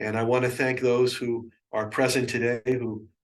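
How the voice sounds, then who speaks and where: A man with a medium pitch speaks in a space with audible room echo. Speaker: yoga and numerology teacher. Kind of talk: guided meditation; lecture. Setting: webinar with live participants.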